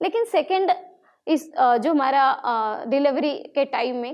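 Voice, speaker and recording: The voice belongs to a woman and sits high. Lively intonation runs through it. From Bihar, India. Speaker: social activist. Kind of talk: motivational stage talk.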